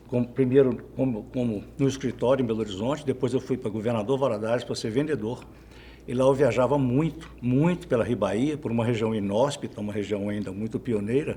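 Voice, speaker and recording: A man speaks at a fairly quick pace in a medium pitch, his tone dark and mellow and somewhat breathy, with ordinary pitch variation. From Minas Gerais interior, Brazil. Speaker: journalist. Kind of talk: interview. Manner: halting.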